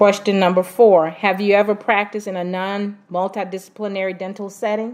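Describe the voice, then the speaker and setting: A woman with a medium pitch talks at a fairly quick pace with hardly any pauses. Her intonation is monotone and flat, while her loudness swings widely. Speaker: doctoral student interviewer. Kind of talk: research interview.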